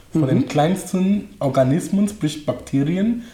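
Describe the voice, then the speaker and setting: A man with a non-native accent speaks at a moderate pace with lively intonation. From Cameroon. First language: not German (speaking German). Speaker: coach and speaker. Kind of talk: interview.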